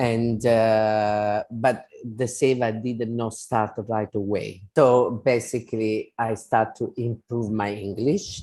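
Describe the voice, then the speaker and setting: The voice has a dark, mellow tone and monotone, flat intonation at a very slow pace. Hardly any pauses break it up. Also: man, medium pitch for a man. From Italy. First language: Italian. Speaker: spiritual devotee and volunteer. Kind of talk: interview. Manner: halting.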